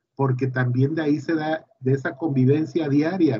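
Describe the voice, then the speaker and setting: A man talks at a fairly slow pace, his voice fairly high and somewhat breathy. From Mexico, Tabasco. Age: 40s. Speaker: university engineering director. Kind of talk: interview.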